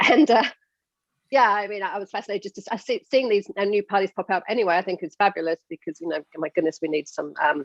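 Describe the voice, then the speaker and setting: A woman with a British accent, medium in pitch, very fast and lively in intonation, in a dry, close recording with no echo. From UK. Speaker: podcast host. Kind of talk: interview.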